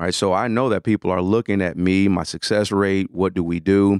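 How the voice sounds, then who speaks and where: With an American accent, a man speaks in a plain, everyday voice at a moderate pace and fairly low pitch, his intonation fairly even and the sound dry and close with no echo. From US Midwest, Detroit. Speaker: management consultant. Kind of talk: interview.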